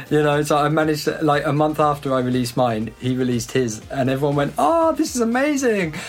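Very fast speech with a British accent, hardly any pauses and very even loudness, over noticeable background noise. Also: man, ordinary pitch variation. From UK. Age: 30s. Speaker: electronic music producer. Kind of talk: casual interview chat.

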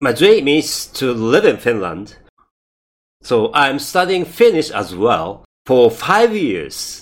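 With a Japanese accent, a man speaks at a very slow pace in a fairly high pitch, using very wide pitch swings and vocal fry. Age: 50s. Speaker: podcaster. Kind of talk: scripted-style podcast trailer, self-introduction. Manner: halting, hesitant with fillers.

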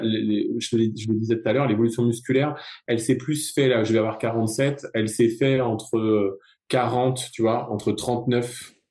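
Dark and mellow in tone, a man's medium-pitched voice keeps fairly even intonation. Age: 40s. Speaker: ultra runner and yoga teacher. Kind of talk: casual chat. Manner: halting.

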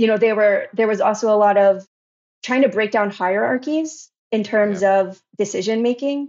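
In a normal speaking voice, a woman with an American accent talks at a moderate pace with a fairly high pitch and ordinary pitch variation. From New Jersey. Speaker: education researcher. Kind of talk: interview conversation.

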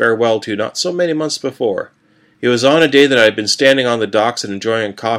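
Someone reading aloud in a natural voice

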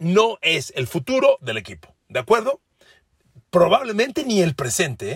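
An animated, somewhat breathy man with very wide pitch swings, in a dry, close sound with no echo. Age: 60s. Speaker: sports podcaster. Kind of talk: sports analysis monologue.

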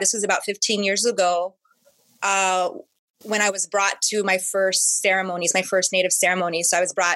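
A woman with an American accent speaks at a moderate pace and medium pitch, her bright, sharp tone kept at very even loudness with monotone, flat intonation. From Southern California. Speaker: curanderismo practitioner and herbalist. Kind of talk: interview conversation.

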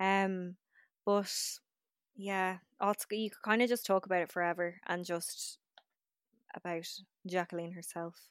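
A woman at medium pitch, fairly slow and monotone with flat intonation, long, frequent pauses, and a dry, close sound with no echo. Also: very clean recording, silent background. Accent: Irish. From Ireland. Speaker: podcast host. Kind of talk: casual chat.

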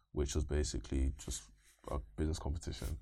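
A man with a London accent talks very fast at a very deep, low pitch, his dark, mellow tone touched with vocal fry. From East London, England. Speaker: machine learning engineer. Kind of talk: interview.

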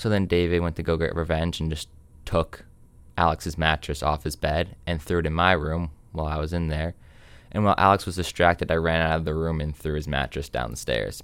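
A man's very deep, low voice at a fairly quick pace, in a very clean recording with a silent background. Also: fairly even intonation. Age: 18. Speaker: podcast guest. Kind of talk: casual chat.

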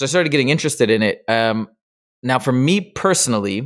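On a very clean recording with a silent background, a man of medium pitch talks at a very fast pace. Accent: American. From Michigan. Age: 40s. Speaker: tutoring business founder. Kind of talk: casual interview.

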